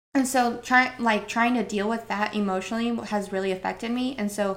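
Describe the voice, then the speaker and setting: A woman with an American accent speaks at a moderate pace in an unremarkable speaking voice, her medium pitch carried by fairly even intonation. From Northern Idaho. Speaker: bodybuilder and entrepreneur. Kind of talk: casual interview chat.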